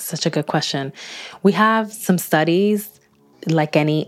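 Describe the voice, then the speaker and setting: A woman at a moderate pace, music in the background. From Dominican Republic, moved to US at five. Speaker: psychologist. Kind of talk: interview.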